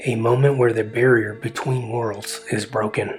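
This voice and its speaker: A man speaks at a fairly slow pace in a medium pitch, his intonation flat and monotone, with music playing in the background. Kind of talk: mythology essay narration.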